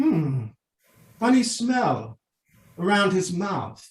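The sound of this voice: In a high put-on character voice, a man speaks very slowly with big pitch swings and audible room echo.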